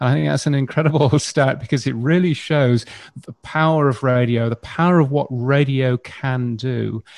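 A man speaks with an English accent. His pace is moderate. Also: medium pitch for a man, ordinary pitch variation. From UK. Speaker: radio futurologist. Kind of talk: panel discussion.

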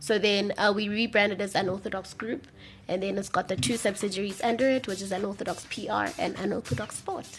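Music plays in the background as a woman speaks at a fairly quick pace. Her pitch is medium, with ordinary variation. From South Africa, Eastern Cape. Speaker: PR agency owner. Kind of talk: radio interview.

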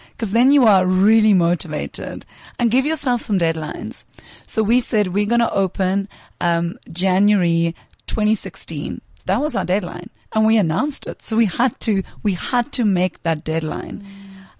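Somewhat breathy, a woman at a medium pitch speaks with lively intonation and a moderate pace. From South Africa, Pretoria. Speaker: tech education co-founder. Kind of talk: interview. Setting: studio.

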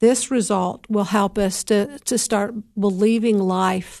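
Very slowly, a woman speaks at a medium pitch with a dark, mellow tone. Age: 60s. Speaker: recovery podcast host. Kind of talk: faith-based talk on addiction recovery. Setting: solo podcast recording. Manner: halting, with frequent fillers.

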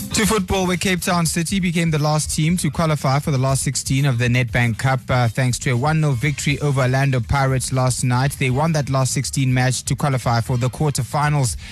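With music in the background, a man talks at a fairly quick pace with hardly any pauses. His medium pitch shows ordinary variation, and his loudness stays very even. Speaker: radio sports news presenter. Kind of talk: crisp radio sports-news bulletin read from script. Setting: radio studio. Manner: brisk, measured newsreader delivery; self-corrects on air mid-read.

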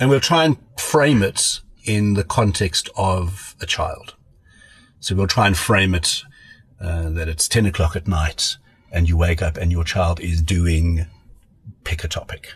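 Very deep, low male voice, somewhat breathy, fairly slow with long, frequent pauses and ordinary pitch variation. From South Africa, Pretoria. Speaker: pediatrician. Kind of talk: casual chat.

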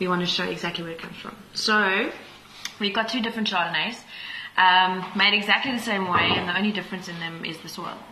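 A woman speaks at a very fast pace with fairly even intonation and big swings in loudness. Noticeable background noise and audible room echo fill the recording. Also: medium pitch for a woman. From South Africa, Pretoria. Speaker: winemaker. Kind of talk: casual interview. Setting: on location at a wine farm tasting room.

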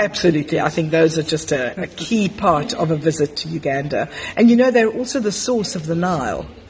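Noticeable background noise sits behind a woman who talks at a fairly quick pace with a fairly low pitch. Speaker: podcast host. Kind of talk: casual interview chat. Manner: animated, enthusiastic.

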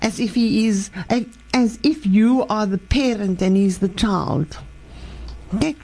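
At a fairly slow pace, a woman speaks at a medium pitch in a dark, mellow, somewhat breathy tone with ordinary pitch variation. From Cape, South Africa. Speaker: life coach. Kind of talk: radio interview. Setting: studio.

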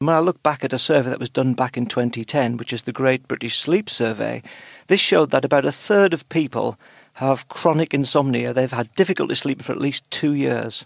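A man with an unremarkable speaking voice at medium pitch, talking at a fairly quick pace with ordinary pitch variation. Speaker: sleep and mental health clinician. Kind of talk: interview.

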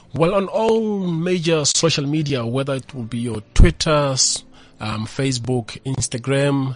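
Over background music, the man's voice sits at a medium pitch with ordinary pitch variation. He talks fairly slowly. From South Africa, Pretoria (Mamelodi). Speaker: motivational speaker. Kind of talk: interview. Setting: studio.

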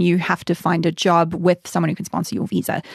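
A woman's very fast, fairly low-pitched speech with vocal fry, dry and close with no echo. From South Africa, Durban. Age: 30s. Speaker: author. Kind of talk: casual chat.

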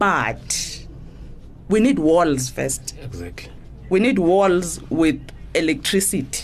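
Amid audible room echo, a woman speaks very slowly, with long, frequent pauses. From South Africa, Eastern Cape (Matatiele area). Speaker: political journalist. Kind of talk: casual chat.

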